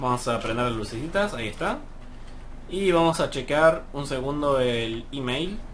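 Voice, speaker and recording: Audible echo from the room is present. A man talks with a fairly high pitch. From Argentina, Mar del Plata. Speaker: gaming YouTuber. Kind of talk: gameplay commentary. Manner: hesitant, many fillers.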